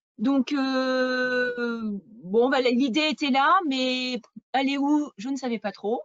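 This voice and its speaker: At a very slow pace, a woman talks with a high pitch and fairly even intonation. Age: 40s. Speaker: real estate agent. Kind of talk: interview. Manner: hesitant, many fillers.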